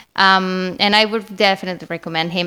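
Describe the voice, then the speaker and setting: Speaking with a Spanish accent, a woman has a fairly low pitch and a bright, sharp tone. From Spain. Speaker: marketing manager. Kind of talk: podcast interview.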